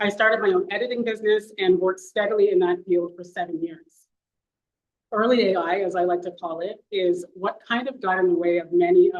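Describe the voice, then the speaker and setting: Fairly quick, fairly even speech from a woman with a Canadian accent, medium in pitch, with big swings in loudness. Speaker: paralegal and professional committee member. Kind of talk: ceremony speech. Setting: event hall with audience. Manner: soft-spoken.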